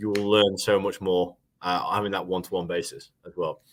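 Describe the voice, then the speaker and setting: Speaking with a British accent, a man uses a fairly low pitch and fairly even intonation. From England. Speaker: webinar host, marketing manager. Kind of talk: webinar chat. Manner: fast.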